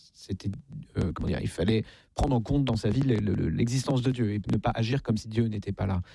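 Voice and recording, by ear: A man talks with a dark, mellow tone at a fairly low pitch. His pitch varies in an ordinary way.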